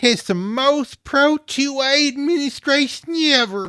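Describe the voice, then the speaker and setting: Fairly slow pace in a high, put-on character voice. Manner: comic, mocking.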